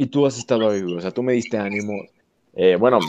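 This man speaks at a very fast pace in a fairly low pitch. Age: 20s. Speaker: podcast guest. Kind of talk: casual chat.

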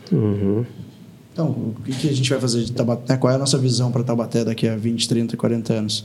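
A man speaks at a medium pitch with a somewhat breathy quality. His intonation stays fairly even, and his pace is fairly quick. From Taubaté, São Paulo state, Brazil. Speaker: former state legislator. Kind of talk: casual interview.

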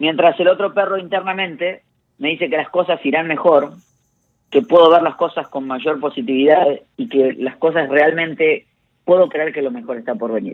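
Here a man with an unremarkable speaking voice talks at a moderate pace, fairly high in pitch, with ordinary pitch variation. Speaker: pastor and motivational speaker. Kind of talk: casual chat. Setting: phone call.

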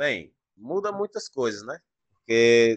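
At a fairly slow pace, a man talks in an unremarkable speaking voice with a dry, close sound and no echo. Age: 30s. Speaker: adult education student. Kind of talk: casual interview.

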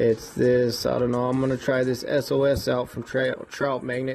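A man talks at a fairly slow pace amid noticeable background noise. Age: 20s. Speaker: fishing podcaster. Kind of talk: casual solo podcast talk. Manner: casual, with frequent fillers.

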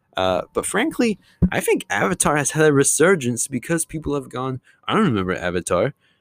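A man speaks at a fairly quick pace with vocal fry and very wide pitch swings. The sound is dry and close, with no echo. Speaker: podcast host. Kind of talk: solo casual monologue. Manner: casual with frequent fillers.

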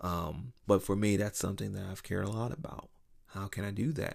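Speaking at a fairly quick pace, this is a plain, everyday voice with an American accent. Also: man. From US, North Philadelphia. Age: 30s. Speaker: podcast host. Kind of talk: solo monologue podcast. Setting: home recording late at night.

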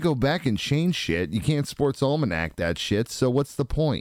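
A man's fairly high voice with vocal fry and very wide pitch swings, in a very clean recording with a silent background. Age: 40s. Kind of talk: casual chat. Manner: animated.

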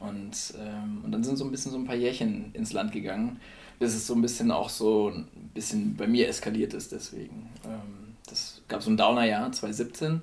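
Moderately paced, fairly even speech from a man at medium pitch, an unremarkable speaking voice. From northern Germany (Lower Saxony). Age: 30s. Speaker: blind date participant, designer and photographer. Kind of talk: casual chat. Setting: at the host's home.

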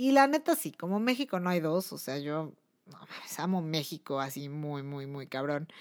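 The speaker talks at a fairly slow pace in a Mexico City accent, with very wide pitch swings and big swings in loudness. The recording is very clean, with a silent background. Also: woman. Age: 30s. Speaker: podcast host and musician. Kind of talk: casual chat. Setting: live stream. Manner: animated.

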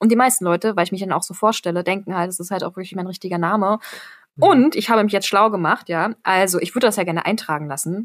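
A woman at a very fast pace, medium pitch, ordinary pitch variation, and a very clean recording over a silent background. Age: 30s. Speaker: actress. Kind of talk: casual chat.

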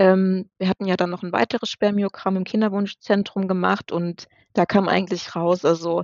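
An unremarkable speaking voice from a woman, medium-pitched, fairly even in intonation and moderate in pace. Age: 30s. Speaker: influencer sharing fertility journey. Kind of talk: casual interview. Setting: wearing headphones, remote recording.

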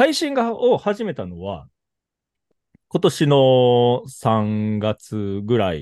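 In a Kobe accent, a man talks with an animated tone against a quiet background. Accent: Kansai (Kobe) Japanese. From Kobe, Hyogo, Japan. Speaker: podcast host. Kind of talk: casual chat. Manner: talkative, animated.

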